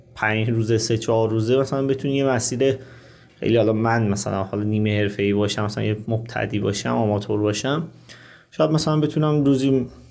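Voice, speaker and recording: The man's pitch is medium, with ordinary pitch variation. He talks at a very fast pace. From Iran, Qazvin. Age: 30s. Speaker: motorcycle traveler. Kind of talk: interview.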